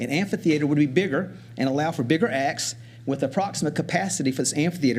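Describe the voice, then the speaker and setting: Very fast, somewhat breathy speech with ordinary pitch variation. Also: man. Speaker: community project presenter. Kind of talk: public presentation at county meeting. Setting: county commission meeting room.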